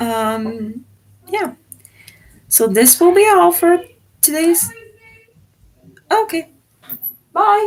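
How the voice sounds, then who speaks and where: With a Czech accent, a woman speaks at a very slow pace in an extremely high pitch, making very wide pitch swings and long, frequent pauses. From Czech Republic. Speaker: exchange student livestreamer. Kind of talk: casual livestream chat. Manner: hesitant, many fillers.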